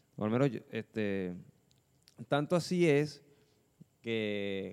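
A man's voice with ordinary pitch variation. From Caracas, Venezuela. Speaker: band guitarist and producer. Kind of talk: casual chat.

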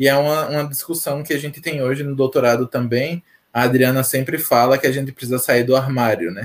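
A man talks at a fairly quick pace and medium pitch. His intonation is fairly even. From Sergipe, Brazil (Aracaju, northern zone). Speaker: PhD researcher. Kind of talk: casual interview on a live stream.

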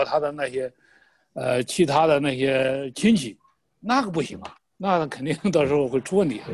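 A man talks at a fairly quick pace. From Shandong, Jinan. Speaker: political commentator. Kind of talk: political discussion.

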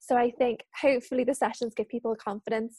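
Speaking very fast in a Liverpool accent, a woman with a high pitch and a dark, mellow tone keeps a fairly even intonation, recorded with a dry, close sound and no echo. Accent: Liverpool (Scouse). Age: 20s. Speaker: freelance journalist and trainer. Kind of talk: casual chat.

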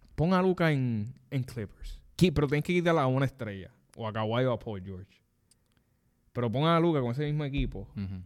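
Recorded very cleanly over a silent background, a man with a plain, everyday voice speaks fairly quickly at a medium pitch, his intonation lively. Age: 20s. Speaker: sports podcast host. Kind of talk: casual chat. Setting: studio.

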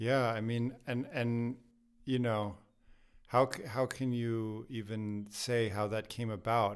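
A man with a plain, everyday voice and an American accent speaks fairly slowly at a medium pitch with fairly even intonation, on a very clean recording with a silent background. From United States. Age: 30s. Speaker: classical guitarist and yoga teacher. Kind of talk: casual interview.

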